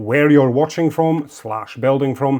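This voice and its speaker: A man speaks with a dark, mellow tone. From Latvia. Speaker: model kit assembly youtuber. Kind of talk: tutorial. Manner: animated.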